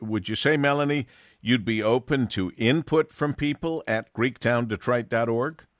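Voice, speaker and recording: At a moderate pace, the voice makes very wide pitch swings, with a quiet background and a dry, close sound with no echo. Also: man. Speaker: radio show host. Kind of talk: radio interview.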